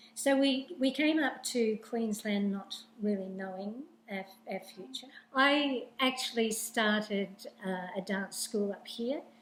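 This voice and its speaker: A woman's fairly high voice with an Australian accent, fairly slow with ordinary pitch variation, over noticeable background noise. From Sydney, Australia. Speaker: newspaper owner, former dancer. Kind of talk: interview. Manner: halting.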